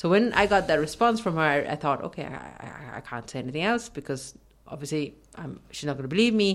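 A woman's very deep, low voice at a fairly quick pace, with very wide pitch swings and big swings in loudness. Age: 40s. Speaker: radio host. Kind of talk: casual chat.

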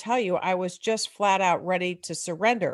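A woman's ordinary speaking voice at a medium pitch, with ordinary pitch variation and a moderate pace, against a quiet background. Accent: American. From US Midwest. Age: 60s. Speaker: author and recovering alcoholic parent. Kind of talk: interview testimony.

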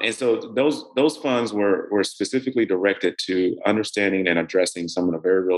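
Using an American accent, a man speaks at a fairly quick pace with ordinary pitch variation. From US South, middle Georgia. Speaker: bank executive. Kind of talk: interview.

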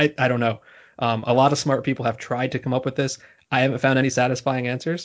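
Speaking very fast in a monotone, flat delivery, a man talks with an American accent. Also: medium pitch for a man. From New Jersey. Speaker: baseball writer. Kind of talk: casual interview. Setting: remote call, not in same room.

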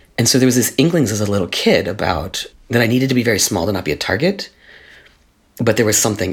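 Here a man talks at a very fast pace. His pitch is fairly low, with vocal fry. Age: 50s. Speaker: spiritual activist and educator. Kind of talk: interview conversation.

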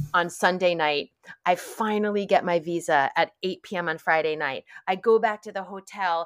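A woman with an American accent speaks in a plain, everyday voice at a fairly low pitch. Her pace is moderate and her intonation fairly even. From New York area, US. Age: 40s. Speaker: author and wellness activist. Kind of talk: casual interview conversation.

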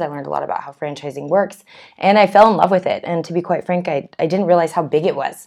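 A woman speaks very fast in a fairly low voice. Her pitch moves in an ordinary way. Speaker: podcast guest, franchise industry sales manager. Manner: fast talker.

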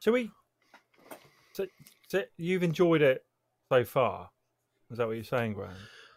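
A man with a British accent speaks at a moderate pace in a fairly high pitch, his voice swinging very widely in pitch. Long, frequent pauses break up his speech, and the sound is dry and close with no echo. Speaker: podcast host. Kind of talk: casual chat.

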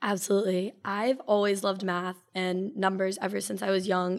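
A woman with an American accent and a normal speaking voice talks at a fairly quick pace, medium in pitch with fairly even intonation. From Connecticut. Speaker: business student. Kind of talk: casual interview.

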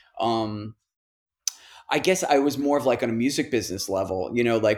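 A man with an American accent at a medium pitch on a very clean recording with a silent background. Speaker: musician, band frontman. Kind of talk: casual interview conversation. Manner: casual, hesitant, filler-heavy.

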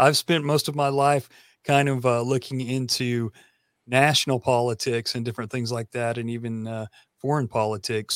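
Fairly even intonation in a Tennessee accent. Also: man, dry, close sound with no echo, very clean recording, silent background. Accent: Southern US (Tennessee). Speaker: podcaster and musician. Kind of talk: interview conversation.

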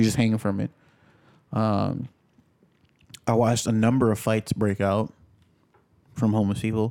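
A man with an American accent speaks at medium pitch in a dark, mellow tone. His intonation is monotone and flat, with long, frequent pauses. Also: moderate pace. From New York City. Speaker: podcast co-host. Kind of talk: casual chat.

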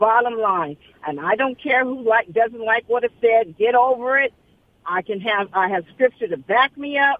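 A woman with a normal speaking voice and an American accent has a fairly high pitch. She speaks at a moderate pace with lively intonation. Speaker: caller. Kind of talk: casual chat. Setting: phone call.

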